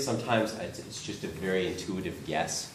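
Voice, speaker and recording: A man talks at a moderate pace. Audible room echo and noticeable background noise surround him. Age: 50s. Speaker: oil painter. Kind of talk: studio tour talk. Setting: artist studio with tour group. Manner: hesitant, many fillers.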